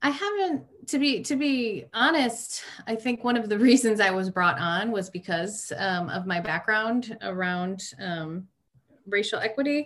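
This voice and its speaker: A woman's fairly high voice with a Michigan accent, lively intonation and a fairly slow pace. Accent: Inland North American (Michigan). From Michigan, Detroit suburbs. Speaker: social work educator. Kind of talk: interview.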